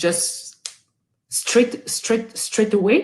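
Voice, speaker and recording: A somewhat breathy, dark, mellow voice with a French accent at a fairly slow pace. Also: woman. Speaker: guest speaker. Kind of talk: webinar talk. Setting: online webinar. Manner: halting, with repetitions and fillers.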